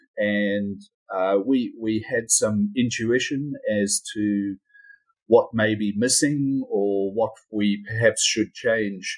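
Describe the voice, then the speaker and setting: A man with a New Zealand accent, medium pitch, a very slow pace and fairly even intonation. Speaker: company CEO. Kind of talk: interview. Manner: halting, repeats words.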